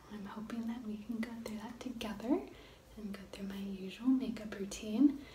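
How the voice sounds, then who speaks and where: A woman with a soft-spoken delivery, her pitch moving in an ordinary way. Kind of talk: ASMR makeup routine talk to camera.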